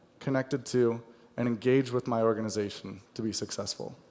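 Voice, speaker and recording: A man's medium-pitched voice with a General American accent, an ordinary speaking voice. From United States. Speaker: software account manager. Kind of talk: conference presentation. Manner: light-hearted, humorous.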